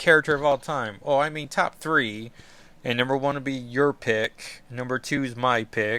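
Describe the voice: The recording is plain reading aloud. Its pitch shifts in an ordinary way.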